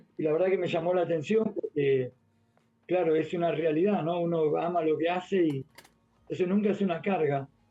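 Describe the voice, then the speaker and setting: A man with an Argentine accent speaks high-pitched at a fairly quick pace. His loudness stays very even and his intonation fairly even. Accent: Rioplatense Argentine Spanish. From Argentina, Buenos Aires (Floresta). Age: 60s. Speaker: physical education teacher. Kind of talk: radio interview.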